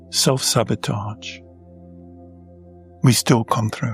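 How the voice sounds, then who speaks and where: Music plays in the background as a man talks at medium pitch. His pace is very slow, his intonation fairly even. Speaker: Taoist monk and meditation teacher. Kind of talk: guided meditation.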